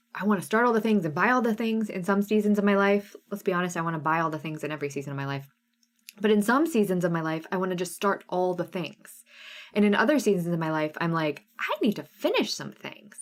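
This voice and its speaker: A woman speaks at a very fast pace in an animated tone. Her pitch sits in the medium range with ordinary variation. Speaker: cross stitch designer and live sale host. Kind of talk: live stream sale with chat. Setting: live stream.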